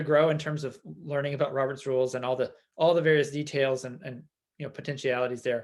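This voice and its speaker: A man with a fairly high voice talks at a very fast pace. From Tennessee. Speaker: political candidate. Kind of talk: town hall Q&A. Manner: hesitant, many fillers.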